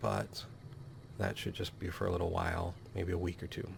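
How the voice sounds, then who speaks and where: A man speaks quietly. His voice has vocal fry. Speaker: let's play gamer. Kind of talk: casual gameplay commentary intro.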